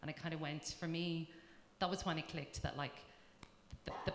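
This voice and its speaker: A woman's very deep, low voice with an Irish accent, at a fairly quick pace. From Ireland. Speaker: tech company engineering manager. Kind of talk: panel talk.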